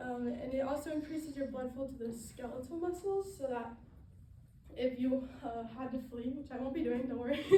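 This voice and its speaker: In an American accent, the speaker uses ordinary pitch variation amid audible room echo. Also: woman, high pitch for a woman. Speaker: student. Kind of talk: class presentation speech. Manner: fast; halting, many fillers.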